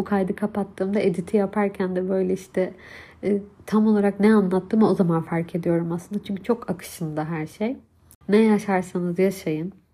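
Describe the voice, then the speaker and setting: A woman speaks at medium pitch and a moderate pace, with fairly even intonation. Her tone is dark and mellow, and somewhat breathy. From Turkey, Hatay. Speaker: podcast host, mother. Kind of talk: personal monologue. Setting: home recording, separate room.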